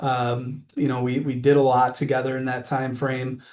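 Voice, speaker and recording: A man in a Wisconsin accent, at a medium pitch. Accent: Wisconsin accent, drawn-out vowels. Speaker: mortgage lending sales manager. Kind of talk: podcast interview.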